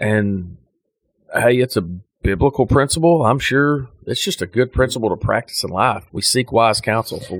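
This man has a normal speaking voice with an American accent, a medium pitch and ordinary pitch variation. He talks at a moderate pace on a very clean recording with a silent background. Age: 30s. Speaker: podcast host, rancher. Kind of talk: casual chat.

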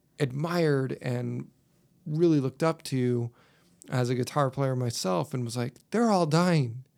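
A man speaks at a fairly slow pace with ordinary pitch variation and a medium pitch. He has an ordinary speaking voice. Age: 30s. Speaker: podcast host and school bus driver. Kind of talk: casual chat.

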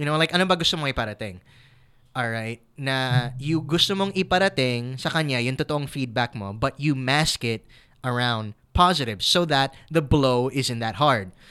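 In a very clean recording with a silent background, a man with an American accent speaks in a bright, sharp tone with ordinary pitch variation. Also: medium pitch for a man, moderate pace. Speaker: dating podcast co-host. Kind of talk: casual chat.

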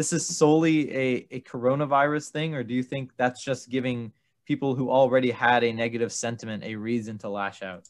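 In a very clean recording with a silent background, a man talks at a fairly quick pace in an ordinary speaking voice, with medium pitch and ordinary pitch variation. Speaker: podcast host, student. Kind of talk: casual chat.

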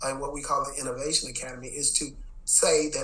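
Noticeable background noise and audible room echo surround a man who talks at a moderate pace with an American accent. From Texas, Dallas. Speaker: education executive and former principal. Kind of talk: interview. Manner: casual, filler-heavy.

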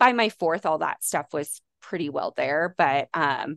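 A woman with an American accent talks at a moderate pace in an ordinary speaking voice. The sound is dry and close with no echo, over a quiet background. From US West, Las Vegas. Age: 30s. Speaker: fitness trainer. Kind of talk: casual chat. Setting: video call.

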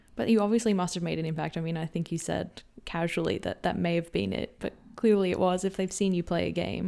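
A woman's very fast pace in a fairly low pitch, with a dark, mellow tone and ordinary pitch variation. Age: 20s. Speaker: podcast host. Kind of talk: casual interview chat.

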